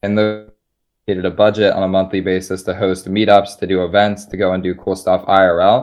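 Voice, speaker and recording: Over music in the background, a man with a fairly low pitch talks at a fairly quick pace in a monotone, flat delivery. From US Northeast, Philadelphia. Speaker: crypto investor and community builder. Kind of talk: live interview. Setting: live online voice chat.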